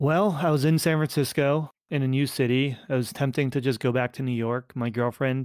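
This man has an unremarkable speaking voice with fairly even intonation, talking at a moderate pace in a dry, close sound with no echo on a very clean recording with a silent background. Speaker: startup founder and community executive. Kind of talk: casual interview chat.

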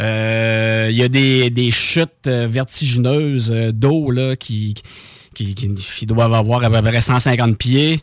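A man speaks at a very slow pace. His pitch is medium and his intonation fairly even. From Quebec, Bellechasse region. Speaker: radio co-host. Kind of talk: casual radio chat. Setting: radio studio.

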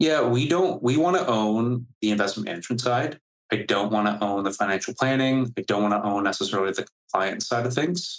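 Speaking with a Canadian accent, a man has a plain, everyday voice at a medium pitch. He talks at a fairly quick pace with lively intonation and very even loudness. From Canada. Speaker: startup founder and CEO. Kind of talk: interview. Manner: casual, filler-heavy.

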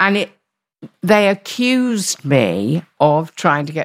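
In a London accent, a woman talks with very wide pitch swings and vocal fry, the sound dry and close with no echo. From London, East End. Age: 70s. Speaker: radio presenter and actor. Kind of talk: interview. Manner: energetic.

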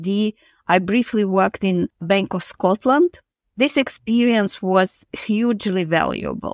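At a fairly slow pace, a woman with an unremarkable speaking voice talks at a medium pitch with ordinary pitch variation. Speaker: professor, credit research centre director.

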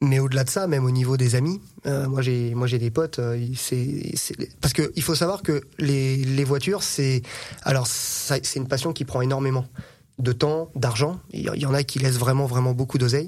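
Using an ordinary speaking voice, a man talks at a medium pitch and moderate pace with fairly even intonation. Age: 30s. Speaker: car mechanic and dealer. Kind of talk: casual chat.

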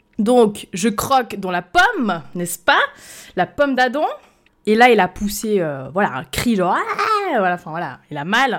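With very wide swings in pitch, a woman talks at a fairly slow pace. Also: medium pitch for a woman. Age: 20s. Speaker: podcast host. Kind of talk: storytime monologue. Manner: unscripted, hesitant.

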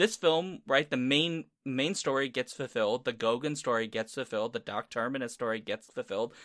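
Recorded very cleanly against a silent background, with a dry, close sound and no echo, a man speaks in a plain, everyday voice at medium pitch, moving at a fairly quick pace with hardly any pauses and ordinary pitch variation. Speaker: podcast host. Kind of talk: casual chat.

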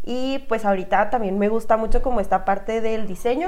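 In a northern Mexican accent, a woman speaks at a medium pitch. Her pace is moderate and her intonation fairly even. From Chihuahua, northern Mexico. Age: 20s. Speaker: podcast co-host. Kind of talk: casual chat.

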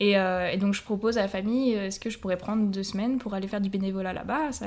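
A woman with a medium-pitched voice and an ordinary speaking voice talks at a fairly quick pace with fairly even intonation. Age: 20s. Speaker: language teacher. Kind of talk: casual chat.

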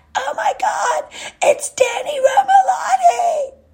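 A put-on character voice shouts at an extremely high, shrill pitch with very wide pitch swings. The pace is very slow. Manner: screaming with excitement.

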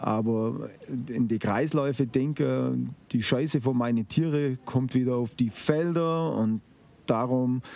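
This is a man speaking at a medium pitch. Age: 50s. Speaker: organic farmer. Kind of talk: interview. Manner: hesitant, with filler sounds.

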